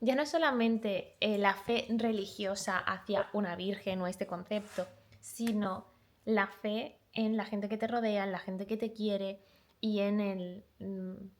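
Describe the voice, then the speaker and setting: Speaking fairly slowly, a woman with a slight Málaga accent keeps a medium pitch and fairly even intonation. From Málaga, Andalusia, Spain. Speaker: booktuber. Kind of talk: book review vlog.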